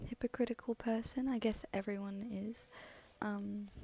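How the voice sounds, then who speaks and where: A soft-spoken woman's whisper at a very slow pace. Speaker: audiobook reader. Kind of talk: casual chat. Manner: near-whisper, soft; hesitant, many ums.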